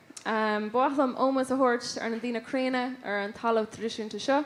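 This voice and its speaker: A woman with an Irish accent, at a moderate pace. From west of Ireland, County Roscommon. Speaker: folk musician, award winner. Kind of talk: award acceptance speech. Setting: stage with audience. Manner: halting, many fillers.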